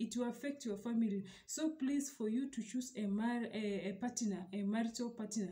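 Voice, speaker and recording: Using ordinary pitch variation, a woman speaks at a moderate pace. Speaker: relationship advice vlogger. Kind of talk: advice talk to camera. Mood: earnest, calm. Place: home room. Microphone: phone near.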